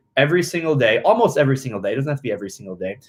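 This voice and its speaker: A man's somewhat breathy voice sits fairly high in pitch. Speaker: swim coaching app host. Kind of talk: live Q&A stream. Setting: livestream on video platforms. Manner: fast.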